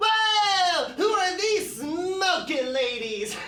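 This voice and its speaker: This is a put-on character voice pitched extremely high. It moves at a very slow pace. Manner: playful, stoner-style.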